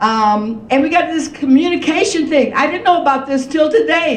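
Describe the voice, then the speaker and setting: Amid noticeable background noise and audible room echo, a woman talks at a fairly quick pace with lively intonation. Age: 70s. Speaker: reparations panelist. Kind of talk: panel discussion.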